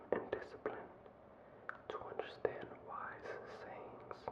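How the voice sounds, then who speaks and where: Whispering at a fairly slow pace, the voice sits against noticeable background noise. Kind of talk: ASMR scripture reading. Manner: whispered.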